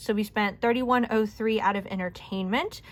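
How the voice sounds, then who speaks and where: A woman speaks in a plain, everyday voice. Her intonation stays fairly even at a moderate pace. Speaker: budgeting YouTuber. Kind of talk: casual budget walkthrough. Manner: casual, chatty.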